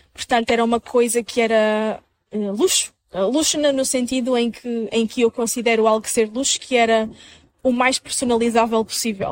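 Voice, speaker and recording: A woman with a normal speaking voice talks at a moderate pace and a fairly high pitch, with fairly even intonation and a dry, close sound with no echo. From northern Portugal (Minho). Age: 20s. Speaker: content creator and social media manager. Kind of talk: interview conversation.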